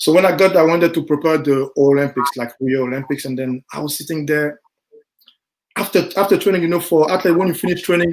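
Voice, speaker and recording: The speech comes at a very fast pace in a French accent. Pitch varies in an ordinary way. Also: man, fairly high pitch for a man. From Ivory Coast. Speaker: sprinter. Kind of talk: podcast interview. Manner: halting.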